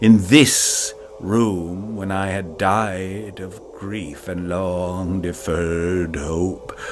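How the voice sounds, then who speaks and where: A man uses a put-on character voice, very deep and low, at a very slow pace with clear background noise behind him. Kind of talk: audio drama narration. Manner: doleful.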